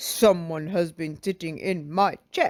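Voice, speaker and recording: A gruff, put-on character voice sits at a middle pitch. It moves at a fairly slow pace. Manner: gruff, accusing.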